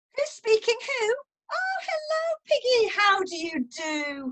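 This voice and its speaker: Putting on a squeaky character voice, a woman speaks at a fairly slow pace with an extremely high pitch and very wide pitch swings. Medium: read story.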